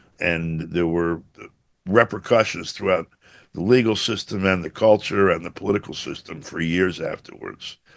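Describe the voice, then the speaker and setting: A man with a very deep, low voice speaks at a moderate pace with ordinary pitch variation against a quiet background. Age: 70s. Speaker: journalist. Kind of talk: interview. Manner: hesitant, many fillers.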